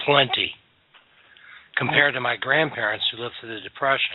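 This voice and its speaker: A man at a medium pitch talks with fairly even intonation in an ordinary speaking voice. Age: 60s. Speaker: podcast host. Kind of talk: casual chat.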